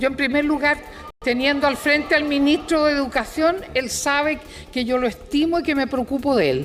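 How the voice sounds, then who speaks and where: A woman speaks at a fairly quick pace. Her voice is high-pitched. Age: 80s+. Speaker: congresswoman. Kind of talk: parliamentary debate. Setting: legislative chamber. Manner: halting.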